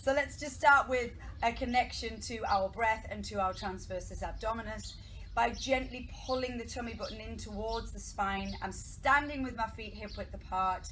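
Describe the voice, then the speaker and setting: A woman shouting at a moderate pace, with big swings in loudness over light background noise. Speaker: pilates instructor. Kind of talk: fitness class instruction. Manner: raised voice, near shouting. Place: garden. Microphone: camera far.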